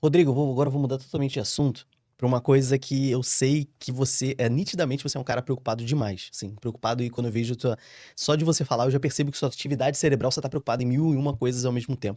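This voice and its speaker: The voice has a dark, mellow tone and fairly even intonation at a very fast pace. The recording is very clean, with a silent background. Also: man, medium pitch for a man. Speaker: podcast host. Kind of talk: podcast interview.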